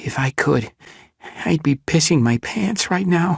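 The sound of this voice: A shaky, whispering put-on character voice at a fairly slow pace in a dry, close sound with no echo. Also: man.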